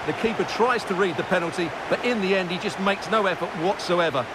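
Over noticeable background noise, a man with a high pitch talks at a very fast pace with ordinary pitch variation. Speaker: football co-commentator. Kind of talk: live sports commentary, co-commentator analysis. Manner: measured, analytical, conversational.

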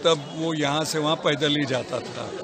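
Over loud background noise, a man speaks at a very slow pace, the sound dry with no echo. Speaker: amateur marathon runner. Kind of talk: interview answer. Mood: cheerful, animated. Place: open country. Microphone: phone near.

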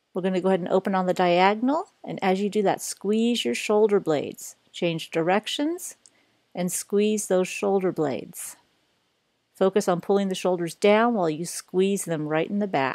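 A woman's voice at a moderate pace with ordinary pitch variation, dry with no echo, against a quiet background. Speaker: yoga instructor. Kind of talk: exercise class instruction. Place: gym.

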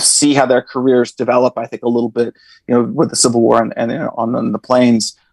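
Someone with an American accent talks at a very fast pace, the sound dry with no echo and the background quiet. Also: man. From northern California. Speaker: history professor. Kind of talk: interview. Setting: video call. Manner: halting, many fillers. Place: home room. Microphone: earbuds.

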